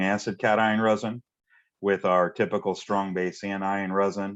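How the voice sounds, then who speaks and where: Over a quiet background, a man speaks in a fairly low pitch. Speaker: technical presenter on ion exchange resin. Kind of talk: webinar presentation. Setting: online webinar. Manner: fast.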